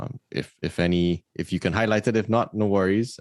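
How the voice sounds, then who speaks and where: Against a quiet background, a man with a Trinidadian accent speaks at a moderate pace and fairly low pitch with fairly even intonation, the sound dry and close with no echo. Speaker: podcast host. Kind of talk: interview.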